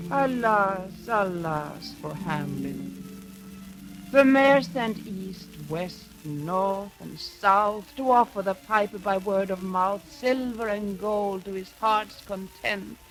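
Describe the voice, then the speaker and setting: A woman's very slow speech over background music, her loudness rising and falling sharply. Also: medium pitch for a woman, ordinary pitch variation. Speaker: narrator. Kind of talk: radio play narration of a poem.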